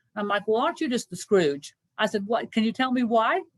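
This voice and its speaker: With a Kentucky accent, a woman talks at a moderate pace in a fairly high voice with ordinary pitch variation, the sound dry and close with no echo. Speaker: senior living care professional. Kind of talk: presentation Q&A. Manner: conversational, many fillers.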